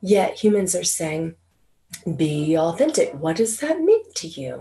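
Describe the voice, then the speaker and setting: A somewhat breathy woman's voice. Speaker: spiritual channeler. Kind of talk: spiritual talk.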